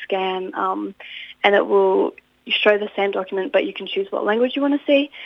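A woman speaks with an Australian accent at a medium pitch. Her pace is moderate. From regional New South Wales, Australia (Inverell). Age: young. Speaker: university student and youth representative. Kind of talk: interview.

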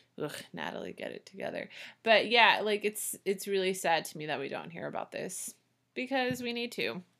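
A woman speaks with vocal fry at a medium pitch and moderate pace. The recording is very clean, with a silent background. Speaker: podcast host. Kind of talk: casual chat.

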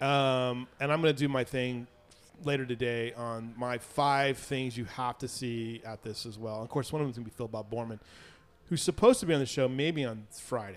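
This is a man with a plain, everyday voice. His pitch sits in the medium range. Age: 50s. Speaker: local news show host. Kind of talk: casual chat.

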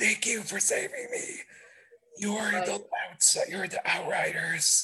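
A man in a put-on character voice, extremely high-pitched and breathy, at a very slow pace. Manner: solemn, reverent.

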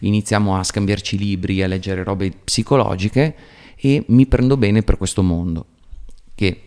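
Recorded very cleanly against a silent background, a man speaks in a normal speaking voice at a moderate pace, his pitch fairly low with ordinary variation. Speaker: psychotherapist. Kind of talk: casual chat.

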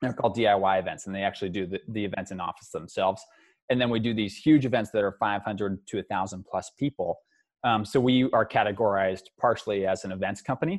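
Very fast speech comes from a man. His voice is fairly low. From Northern California, Mount Shasta. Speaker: startup founder. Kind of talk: interview.

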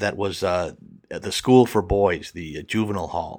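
Using a plain, everyday voice, a man with an American accent talks at a fairly quick pace and fairly low pitch, with ordinary pitch variation. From US Midwest, Milwaukee, Wisconsin. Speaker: storyteller, comedian. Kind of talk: storytelling interview.

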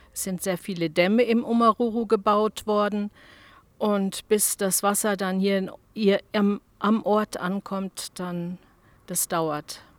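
On a very clean recording with a silent background and a dry, close sound with no echo, a woman speaks very slowly at a medium pitch with fairly even intonation. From Namibia, Omaruru. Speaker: retired teacher. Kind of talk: interview.

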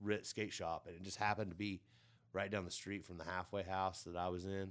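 Here a man speaks with a Midwestern American accent at a fairly low pitch and a fairly quick pace. His intonation is monotone and flat, on a very clean recording with a silent background. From southern Illinois. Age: 40s. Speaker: skateboarder. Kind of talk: casual chat. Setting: studio.

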